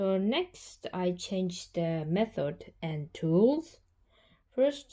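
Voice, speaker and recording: Speaking at a very slow pace, a woman with a non-native accent uses a medium pitch, a dark, mellow tone and very wide pitch swings. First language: not English. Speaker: hobby painter and art vlogger. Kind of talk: vlog narration.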